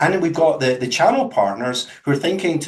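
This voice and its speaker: A man talks with a Scottish accent. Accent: Scottish, unchanged after 22 years in US. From Scotland. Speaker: company representative. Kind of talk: webinar presentation.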